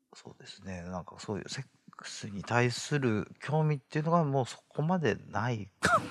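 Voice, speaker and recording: Lively intonation and big swings in loudness mark this man's an unremarkable speaking voice. His pitch is medium, his pace moderate. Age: 30s. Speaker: interviewee. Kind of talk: interview.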